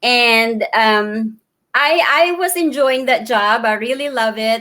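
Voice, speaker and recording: On a very clean recording with a silent background, a woman speaks at a very slow pace and a fairly high pitch with a bright, sharp tone, very even loudness and ordinary pitch variation. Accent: Filipino. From Philippines, Davao. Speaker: digital business owner and mentor. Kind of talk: casual interview. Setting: live video stream.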